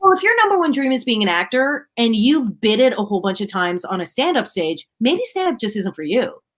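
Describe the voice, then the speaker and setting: A loud woman's voice, fairly high-pitched, at a fairly quick pace with hardly any pauses and very wide pitch swings. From Canada, Ottawa. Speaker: comedian and radio personality. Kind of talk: casual chat. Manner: loud laugh.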